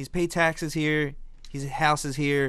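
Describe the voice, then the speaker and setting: With an American accent, a man speaks in an unremarkable speaking voice at a fairly high pitch, with ordinary pitch variation and a moderate pace, on a very clean recording with a silent background. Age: 30s. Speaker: podcast co-host. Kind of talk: casual chat.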